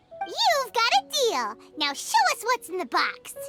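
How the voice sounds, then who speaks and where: An extremely high, squeaky, cartoonish character voice moves at a fairly slow pace. Music plays clearly in the background. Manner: brash, energetic.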